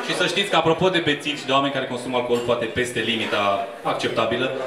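Over noticeable background noise and audible room echo, a man talks at a fairly quick pace with ordinary pitch variation. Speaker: stand-up comedian. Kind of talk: stand-up comedy crowd work. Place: bar.

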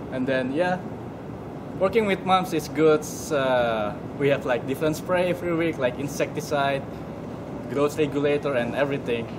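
A man with an Indonesian accent at a moderate pace, long, frequent pauses, and noticeable background noise. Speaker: horticulture intern. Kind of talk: short testimonial to camera.

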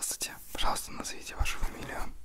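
A man whispers at a very fast pace. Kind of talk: roleplay, ASMR-style. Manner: soft close ASMR voice. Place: home room. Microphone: handheld.

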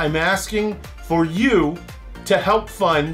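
Faint background music can be heard. Over it, a man talks. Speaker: travel show host. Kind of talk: fundraising appeal to camera. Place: home room.

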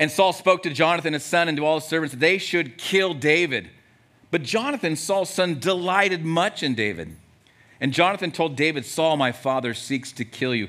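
The tone is bright and sharp. Pitch varies in an ordinary way at a moderate pace. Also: man. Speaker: pastor preaching. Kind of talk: sermon. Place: church. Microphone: headset.

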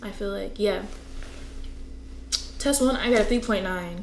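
There's audible room echo and light background noise as a woman speaks. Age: 20s. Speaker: navy recruit training graduate. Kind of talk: casual talk to camera. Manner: chatty, conversational. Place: home room.

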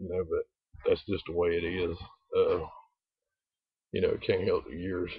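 A man with a North Carolina accent talks at a fairly slow pace with long, frequent pauses over a quiet background. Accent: Southern US (North Carolina). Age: old. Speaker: video blogger. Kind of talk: casual vlog monologue. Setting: outdoors. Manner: rambling, many fillers. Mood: defiant, offhand. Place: open country. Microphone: phone near.

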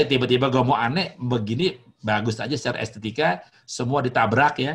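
This man's voice has vocal fry and ordinary pitch variation. He speaks at a fairly quick pace. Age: 50s. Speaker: hotelier; guest lecturer. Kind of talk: lecture. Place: home room. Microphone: webcam.

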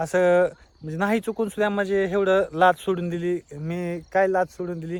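The man's voice sits high in pitch. His intonation is monotone and flat. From rural Maharashtra, India. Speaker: family vlogger. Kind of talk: vlog monologue. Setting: outdoors in a field.

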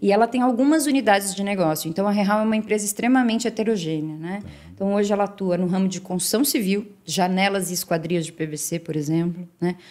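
Over a quiet background, a woman at medium pitch talks at a fairly quick pace with hardly any pauses and ordinary pitch variation. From Brazil, São Paulo state (Santo André, then Campinas); São Paulo state, Brazil. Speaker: sales and marketing executive; sales. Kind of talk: interview. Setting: studio. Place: office. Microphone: studio mic.

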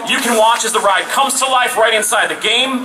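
Music plays in the background as a man speaks at an extremely high pitch. His voice is raised and projected. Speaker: event presenter. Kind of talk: live event announcement. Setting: outdoor stage with audience. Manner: animated. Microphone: pa.

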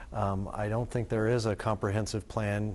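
A man speaks in a normal speaking voice at a moderate pace, his fairly low pitch carried with fairly even intonation. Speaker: economic consultant. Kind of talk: TV panel discussion. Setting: TV studio. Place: studio. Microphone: lapel.

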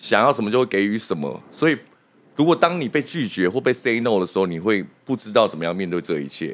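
A man's fairly low voice at a very fast pace, with very wide pitch swings. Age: 30s. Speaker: hairdresser; podcast guest. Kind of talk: casual chat. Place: studio. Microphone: studio mic.

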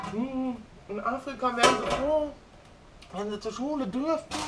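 Over loud background noise, a woman talks with lively intonation. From Germany. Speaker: vlogger. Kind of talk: casual vlog monologue. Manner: animated. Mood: opinionated, worked up. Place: kitchen.

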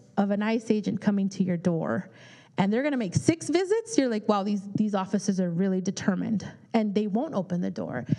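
A woman with an American accent and a dark, mellow tone, at a moderate pace over a quiet background. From California, Bay Area; California. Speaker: immigration attorney; speaker. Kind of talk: public talk with Q&A. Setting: community forum with audience. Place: meeting room. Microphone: handheld.

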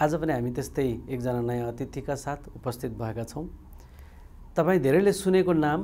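A man with a Nepali accent speaks fairly slowly in a dark, mellow tone, taking long, frequent pauses. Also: fairly high pitch for a man, ordinary pitch variation. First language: Nepali (speaking Hindi). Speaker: TV interviewer; TV interview host. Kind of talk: formal programme presentation; interview. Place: studio. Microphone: lapel.

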